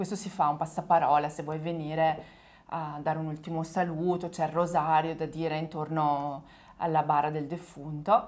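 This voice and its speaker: The woman's pitch is very deep and low. Her intonation stays monotone and flat. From small village in northern Italy. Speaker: Italian teacher. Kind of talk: casual chat.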